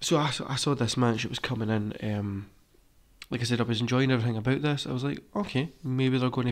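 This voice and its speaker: The voice is quiet and moves at a fairly quick pace. The recording is very clean, with a silent background. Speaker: wrestling podcast host. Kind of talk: casual review chat. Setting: recording at home.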